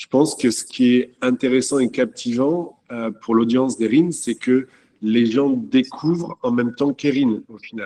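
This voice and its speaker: A man's voice with ordinary pitch variation. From France. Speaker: château owner. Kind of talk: panel talk.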